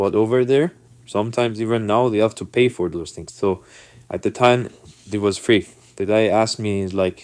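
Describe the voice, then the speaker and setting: On a very clean recording with a silent background, a man with a non-native accent speaks at a fairly quick pace and a fairly low pitch, with fairly even intonation and long, frequent pauses. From non-English-speaking country, emigrated to US as a youth. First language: not English. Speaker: vlogger telling personal stories. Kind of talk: casual storytelling monologue.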